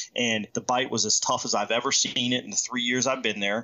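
A man talks in a medium pitch, with noticeable noise behind him. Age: 40s. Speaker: fishing podcast host. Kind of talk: casual chat.

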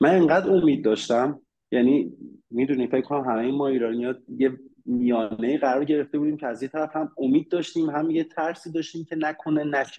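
In a normal speaking voice, a man talks at a fairly quick pace. His fairly high pitch moves with ordinary variation. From Iran. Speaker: immigrant sharing experience. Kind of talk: casual interview chat.

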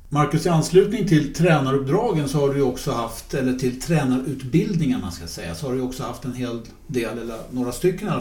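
Amid noticeable background noise and audible room echo, a man speaks at medium pitch with lively intonation and big swings in loudness. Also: hardly any pauses. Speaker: podcast host. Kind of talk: casual chat.

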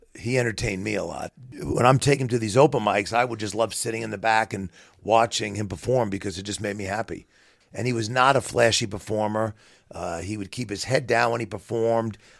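A man with a strong New York accent speaks at a fairly quick pace. His pitch is medium and his intonation fairly even. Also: very clean recording, silent background. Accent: heavy New York. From New York City, Queens. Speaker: bereaved father, business owner. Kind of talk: interview, personal testimony.

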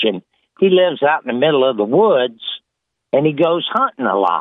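A man's pitch swings very widely as he talks at a moderate speed. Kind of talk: joke telling. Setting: phone call.

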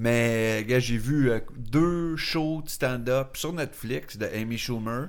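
A man at a very slow pace, medium in pitch with ordinary pitch variation, in audible room echo. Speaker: podcast co-host. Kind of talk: casual chat.

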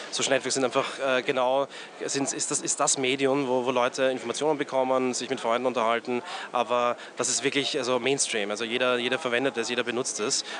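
Over noticeable background noise, a man talks at a very fast pace and medium pitch with monotone, flat intonation. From Austria, Graz. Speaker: agency head. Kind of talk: interview. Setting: outdoors in a courtyard. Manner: halting, many fillers.

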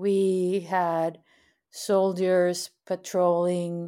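A woman with a Spanish accent speaks at a medium pitch in a dark, mellow tone. The recording is very clean, with a silent background. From Mexico, Monterrey. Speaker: activist and producer. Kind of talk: interview.

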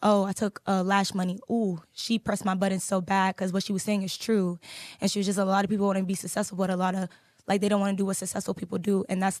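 A woman speaks at a fairly quick pace with a medium pitch and an animated tone. The sound is dry and close with no echo, over a quiet background. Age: 20s. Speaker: lash business owner. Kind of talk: casual interview chat.

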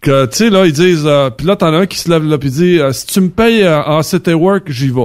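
A man speaks at a moderate pace with a Quebec accent. His voice is fairly high-pitched, with ordinary pitch variation. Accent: Québécois French. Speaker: trucking industry manager. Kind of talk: casual chat.

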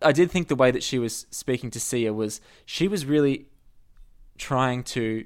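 An Australian-accented man talks at a fairly slow pace and medium pitch with ordinary pitch variation. The recording is very clean, with a silent background. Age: 30s. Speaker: author and journalist. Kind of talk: casual chat.

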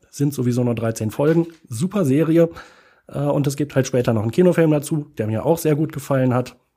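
Speaking fairly quickly with ordinary pitch variation, a man has a dark, mellow tone on a very clean recording with a silent background. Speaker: podcast co-host. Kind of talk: casual chat. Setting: improvised studio in a hotel room.

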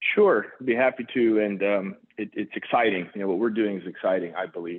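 In an American accent, a man talks at a fairly low pitch with fairly even intonation. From Houston and Saudi Arabia. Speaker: vascular surgeon and hospital executive. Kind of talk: interview. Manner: hesitant, many fillers.

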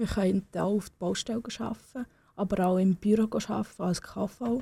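A dark, mellow, somewhat breathy voice with a non-native accent. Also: woman. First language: not German (speaking German). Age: young. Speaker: young political candidate. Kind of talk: radio interview. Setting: radio studio. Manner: hesitant, with fillers.

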